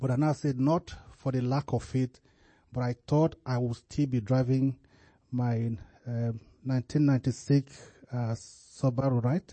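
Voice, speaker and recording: The speech comes at a fairly slow pace, somewhat breathy, with fairly even intonation and long, frequent pauses. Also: man, medium pitch for a man. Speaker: church member closing the service. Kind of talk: closing remarks and reading prayer reports. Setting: church. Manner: halting.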